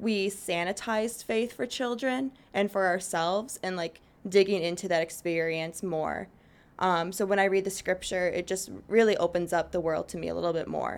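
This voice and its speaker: Recorded very cleanly against a silent background, a woman with an American accent uses an ordinary speaking voice at medium pitch, with ordinary pitch variation and a moderate pace. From Chicago south suburbs, US Midwest. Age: 20s. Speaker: church youth group leader. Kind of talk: casual interview chat.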